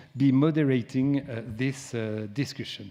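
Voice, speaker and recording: At a fairly slow pace, a man talks with a dark, mellow tone, medium pitch and ordinary pitch variation. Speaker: dean of a school of public affairs. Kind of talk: conference opening remarks. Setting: conference hall with audience. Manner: halting, many fillers.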